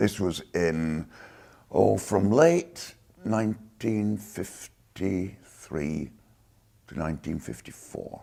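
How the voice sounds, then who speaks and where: Speaking very slowly with a Lancashire accent, a man's very deep, low voice has a dark, mellow tone and lively intonation. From northern England, Lancashire (Chorley). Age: 70s. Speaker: war veteran. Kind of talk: oral history interview.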